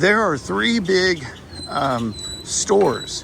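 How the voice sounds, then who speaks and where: In a Texas accent, a man with a high voice talks very slowly with very wide pitch swings, amid audible room echo and noticeable background noise. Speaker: travel vlogger. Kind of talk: walking tour review. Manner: casual, halting with fillers.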